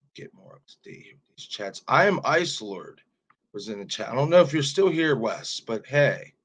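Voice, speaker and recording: A man's fairly high voice with vocal fry, very wide pitch swings and big swings in loudness, at a moderate pace. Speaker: horror movie YouTuber. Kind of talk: live stream Q&A. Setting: live stream. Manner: casual.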